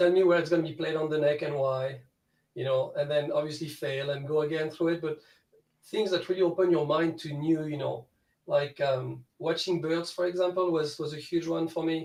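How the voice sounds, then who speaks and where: With a French accent, a man speaks at a moderate pace in a fairly high, monotone, flat voice. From France. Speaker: guitar student. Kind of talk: casual chat.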